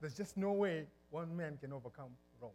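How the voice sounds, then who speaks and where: A man with a Zimbabwean accent talks at a high pitch with ordinary pitch variation. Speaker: pastor. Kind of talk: sermon. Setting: church.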